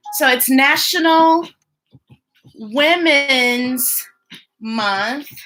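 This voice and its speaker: A woman speaks. Music plays in the background. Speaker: children's story time host. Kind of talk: live read-aloud stream chat. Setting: live online stream. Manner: animated.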